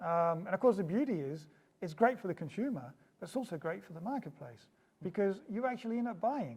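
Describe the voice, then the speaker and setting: A man's high-pitched voice with a slight New Zealand accent, fairly quick pace, very wide pitch swings and big swings in loudness. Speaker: startup founder. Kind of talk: interview. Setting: office.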